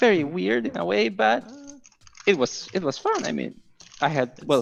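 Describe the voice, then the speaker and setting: Music plays in the background as a man with a Spanish accent speaks in a fairly high voice. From Mexico. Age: 20s. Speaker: game developer. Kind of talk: casual interview. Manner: halting, many fillers.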